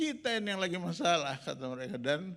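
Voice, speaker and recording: The speaker is a man. He keeps a moderate pace. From Makassar, Indonesia. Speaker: pastor. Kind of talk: sermon testimony. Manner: animated storytelling.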